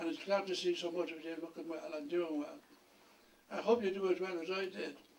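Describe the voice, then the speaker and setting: Talking at a fairly quick pace, a man with a Dublin accent has a high pitch and ordinary pitch variation. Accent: Dublin Irish. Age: 80s+. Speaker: retired education board chair. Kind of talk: acceptance speech.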